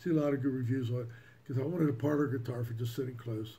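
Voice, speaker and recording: A somewhat breathy, dark and mellow voice with fairly even intonation and audible room echo. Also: man. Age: 60s. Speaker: music hobbyist YouTuber. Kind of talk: casual monologue. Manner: halting.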